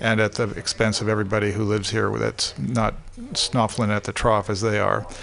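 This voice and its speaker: A man speaks at a fairly quick pace with vocal fry, a fairly low pitch and fairly even intonation. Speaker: university lecturer. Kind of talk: casual chat. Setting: studio.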